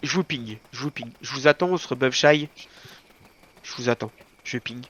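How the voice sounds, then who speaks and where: A man's voice with very wide pitch swings. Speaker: gaming shot-caller. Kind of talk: live game voice chat commands. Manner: fast.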